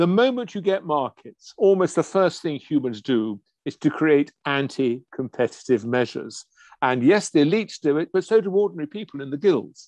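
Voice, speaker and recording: A man with an English accent and a fairly high pitch, very wide pitch swings, a moderate pace, a dry, close sound with no echo and a quiet background. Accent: English (RP-leaning). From England. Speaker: biochemistry professor. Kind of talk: interview conversation.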